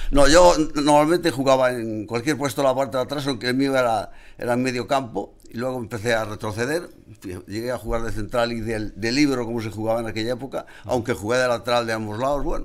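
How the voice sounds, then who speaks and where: A man rattles along very fast with ordinary pitch variation, captured on a very clean recording against a silent background. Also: medium pitch for a man. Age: 70s. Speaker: football supporters club president. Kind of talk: casual chat.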